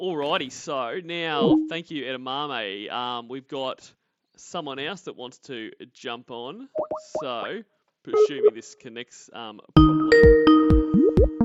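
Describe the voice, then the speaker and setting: An Australian-accented man with a fairly high pitch and ordinary pitch variation speaks very slowly, his loudness swinging widely. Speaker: livestream host. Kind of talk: casual chat. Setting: online call-in stream.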